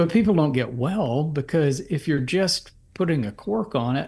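Somewhat breathy and fairly high in pitch, a man speaks at a fairly slow pace with lively intonation. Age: 60s. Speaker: physician and herbal medicine author. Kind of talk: interview, explanatory talk.

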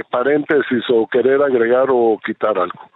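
A man's voice at medium pitch. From Guatemala. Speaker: presidential candidate. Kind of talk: radio interview.

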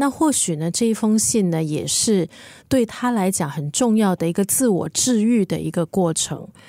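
Medium-pitched woman in a dark, mellow tone, lively in intonation, at a moderate pace, dry and close with no echo on a very clean recording with a silent background. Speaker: podcast co-host, book discussion. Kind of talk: casual book chat.

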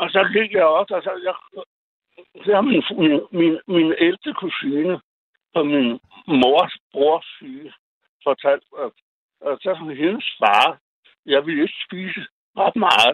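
Pitched high for a man, his voice moves at a very slow pace with lively intonation and long, frequent pauses. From Greenland. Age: 70s. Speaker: caller. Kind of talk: phone-in talk. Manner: halting.

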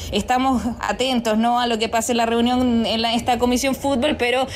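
A woman with a high pitch at a fairly quick pace, over noticeable background noise. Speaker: sports reporter. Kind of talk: field report.

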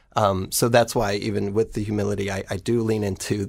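With an American accent, a man talks at a fairly quick pace in a fairly low pitch, his intonation monotone and flat, with vocal fry. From rural Ohio. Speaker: nonprofit executive director. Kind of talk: radio interview.

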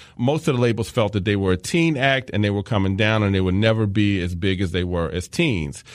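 With a quiet background, a man talks at a fairly quick pace in a fairly low pitch, an unremarkable speaking voice. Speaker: podcast host. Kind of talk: scripted narration with clips.

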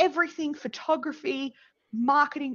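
This voice belongs to a woman. She speaks in an Australian accent. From Australia, New South Wales (Dubbo). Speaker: community advocate. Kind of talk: casual chat. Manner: loud.

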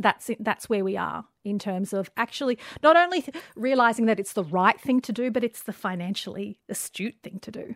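Her fairly high voice moving quickly with lively intonation and big swings in loudness, a woman speaks in a dry, close sound with no echo. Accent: Australian. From Western Sydney, Australia. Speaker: journalist and diversity advocate. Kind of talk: casual interview conversation.

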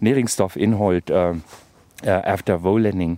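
A man is speaking. His tone is dark and mellow. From Germany, Brandenburg. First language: German (speaking Danish). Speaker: senior researcher. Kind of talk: field interview. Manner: halting, mixing Danish and German.

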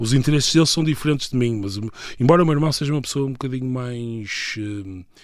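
A man is talking very fast. His pitch sits in the medium range. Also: ordinary pitch variation. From northern Portugal, Viana do Castelo. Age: 30s. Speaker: political scientist. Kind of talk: interview. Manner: halting.

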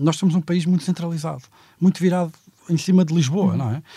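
A man's fairly high voice with a dark, mellow tone, dry and close with no echo. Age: 40s. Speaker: economist. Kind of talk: panel discussion.

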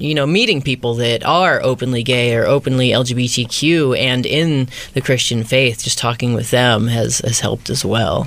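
An American-accented man at a medium pitch with ordinary pitch variation, moderate in pace, over noticeable background noise. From southern Illinois, small town. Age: 20s. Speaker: conversion therapy survivor and activist. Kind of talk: interview.

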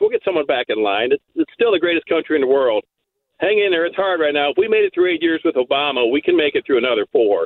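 Speaking at a very fast pace, a man uses a high pitch and lively intonation while keeping his loudness very even. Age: 60s. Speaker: radio caller. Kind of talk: call-in political chat.

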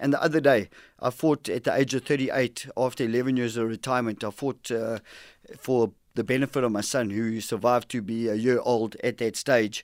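A plain, everyday voice speaks at a moderate pace with fairly even intonation in a very clean recording with a silent background. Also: man, medium pitch for a man. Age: 50s. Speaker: former boxer and program director. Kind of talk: interview. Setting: radio studio.

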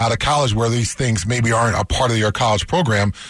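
His pace fairly quick, a man speaks at a medium pitch. His voice is somewhat breathy. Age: 50s. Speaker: sports radio co-host, former NFL player. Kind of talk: casual sports talk chat.

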